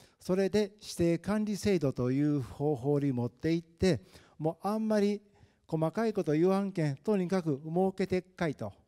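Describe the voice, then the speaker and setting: A man with a high-pitched yet dark, mellow tone speaks at a moderate pace with lively intonation. The sound is dry and close with no echo, on a very clean recording with a silent background. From Japan, Tokushima (rural). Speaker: retired town official. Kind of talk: panel discussion.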